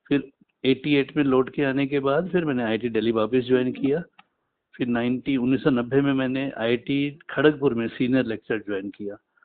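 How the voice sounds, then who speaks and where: A man speaks in an unremarkable speaking voice at a medium pitch. His intonation stays fairly even. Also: moderate pace. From Punjab, India (Patiala). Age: 60s. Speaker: retired physics teacher. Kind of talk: interview.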